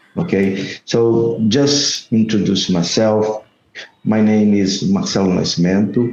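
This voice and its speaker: In a Brazilian accent, a man speaks at a very slow pace with very even loudness. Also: fairly low pitch for a man, ordinary pitch variation. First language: Portuguese. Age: 50s. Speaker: salesman. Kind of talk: video call conversation. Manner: halting.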